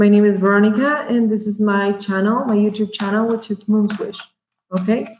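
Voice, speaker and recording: Moving at a fairly quick pace, a woman talks in a fairly high, somewhat breathy voice with monotone, flat intonation. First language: Spanish. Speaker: tarot reader. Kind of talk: tarot reading monologue. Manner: halting, many fillers.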